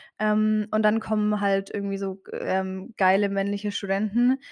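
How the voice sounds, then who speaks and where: Fairly even in intonation and medium in pitch, a woman speaks in a very clean recording with a silent background. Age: 20s. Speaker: theology student and Instagram creator. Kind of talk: interview. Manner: hesitant, many filler sounds.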